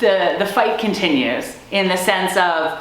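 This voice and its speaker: Noticeable background noise and audible room echo surround a woman speaking at a very slow pace with an American accent. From US, Maryland. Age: 50s. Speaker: army veteran. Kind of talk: interview testimony.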